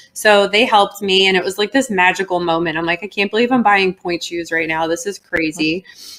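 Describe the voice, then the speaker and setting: A woman with an American accent talks at a fairly quick pace, with hardly any pauses, at medium pitch with ordinary pitch variation. Her loudness swings a lot. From Philadelphia. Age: 40s. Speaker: ballet teacher and model; interview guest. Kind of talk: interview. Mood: earnest, personal storytelling.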